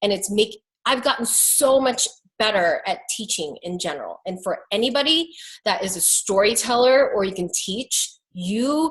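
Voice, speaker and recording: A woman speaks in a somewhat breathy voice. Her tone is animated, with lively intonation. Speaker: makeup artist and business coach. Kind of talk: online coaching talk. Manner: fast when excited.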